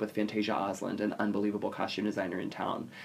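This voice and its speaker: Very rapid speech from a man, his pitch in the medium range. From South Jersey, US (Atlantic City). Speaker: theater performer. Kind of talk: casual interview.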